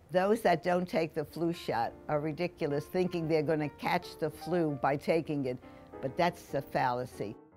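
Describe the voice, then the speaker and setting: A woman's intonation is lively. Behind her, music can be heard. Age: 80s+. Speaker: senior giving testimonial. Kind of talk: testimony.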